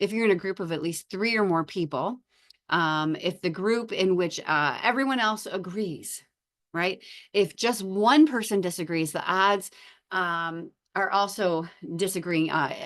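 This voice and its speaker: A woman talks in a normal speaking voice at medium pitch and a moderate pace. Ordinary pitch variation comes through over a quiet background. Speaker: psychology lecturer. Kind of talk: lecture. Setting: online lecture with screen share. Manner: frequent filler words.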